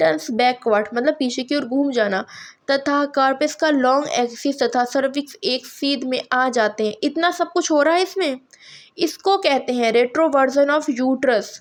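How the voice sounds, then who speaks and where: A woman's high voice, with ordinary pitch variation and very even loudness. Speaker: nursing tutor. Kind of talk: lecture. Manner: halting, with fillers.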